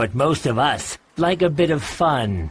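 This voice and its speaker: A put-on character voice is used here. The pace is rather slow. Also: man, fairly high pitch for a man. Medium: audio drama. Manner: growling, gruff.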